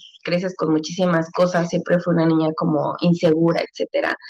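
This woman speaks at a moderate pace in a fairly low pitch, her intonation monotone and flat. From Mexico City. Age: 30s. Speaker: mother, podcast guest. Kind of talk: casual chat.

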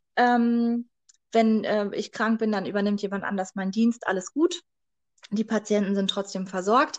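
A normal speaking voice at a fairly slow pace with fairly even intonation, dry and close with no echo, over a quiet background. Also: woman, fairly high pitch for a woman. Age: 20s. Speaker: midwife. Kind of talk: interview.

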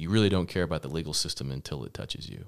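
This man's voice is very deep and low, with vocal fry and ordinary pitch variation. He talks at a very fast pace on a very clean recording with a silent background. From Texas, Lubbock. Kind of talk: casual chat.

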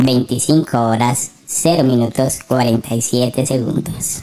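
In a put-on character voice, the speaker goes at a very slow pace with a low-to-middle pitch. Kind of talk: automated announcement.

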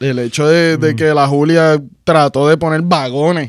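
A man speaks at a fairly high pitch with ordinary pitch variation. It is a normal speaking voice. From Puerto Rico. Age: 30s. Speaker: animator. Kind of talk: casual chat.

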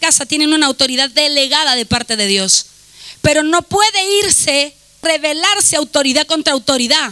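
A woman with a high pitch projects her raised voice at a fairly quick pace, animated in tone with lively intonation and very even loudness, the sound dry and close with no echo. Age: 40s. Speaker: pastor. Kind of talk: sermon. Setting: church.

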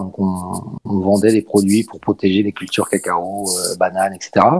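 A man with an ordinary speaking voice and a fairly low pitch talks at a fairly quick pace in a dry, close sound with no echo. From Paris, France. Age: 40s. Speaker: esports team president. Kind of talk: interview.

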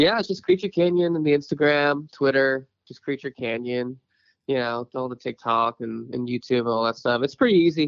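The delivery is a normal speaking voice with an American accent. It moves at a fairly quick pace with ordinary pitch variation. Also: man, medium pitch for a man. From San Diego, California. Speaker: musician. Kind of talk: interview. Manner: casual, filler-heavy.

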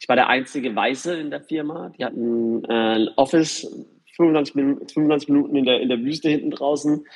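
A man speaks at a moderate pace in a fairly high voice with ordinary pitch variation. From Germany, Karlsruhe region. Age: 40s. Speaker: real estate developer and former DJ. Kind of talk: interview. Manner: hesitant, many filler sounds.

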